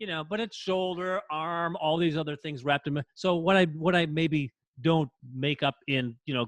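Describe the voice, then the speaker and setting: With an American accent, an ordinary speaking voice moves at a moderate pace with ordinary pitch variation. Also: man. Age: 60s. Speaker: podcast co-host. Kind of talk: casual chat.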